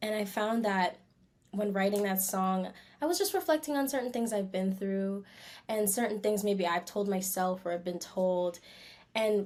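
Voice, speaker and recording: A woman speaks at a moderate pace in an unremarkable speaking voice. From Canada. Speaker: R&B singer. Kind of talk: interview. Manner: casual, relaxed.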